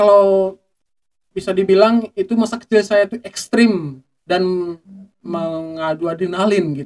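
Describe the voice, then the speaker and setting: A high-pitched man speaks at a fairly slow pace. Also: ordinary pitch variation, quiet background. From Aceh, Indonesia. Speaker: Quran school alumnus; podcast guest. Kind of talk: casual interview. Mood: reflective, earnest storytelling. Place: studio. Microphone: studio mic.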